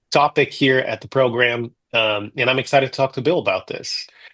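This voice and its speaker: A man at medium pitch with a Portuguese accent, fairly quick pace, quiet background. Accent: Portuguese country. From Brazil, countryside. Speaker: interviewer, program graduate. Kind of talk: interview.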